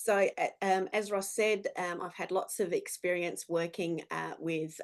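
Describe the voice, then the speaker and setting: A woman with an Australian accent talks at a moderate pace and a medium pitch, with ordinary pitch variation. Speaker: business speaker. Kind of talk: presentation.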